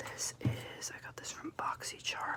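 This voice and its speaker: A whispered voice comes through with clearly audible noise in the background. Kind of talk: ASMR makeup collection show-and-tell.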